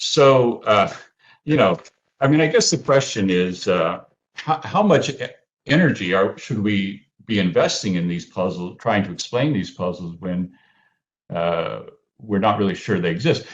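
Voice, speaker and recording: Against a quiet background, the speaker keeps a moderate pace with lively intonation and long, frequent pauses. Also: man, fairly low pitch for a man. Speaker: economist, paper discussant. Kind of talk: academic conference discussion. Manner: halting, many fillers and repetitions.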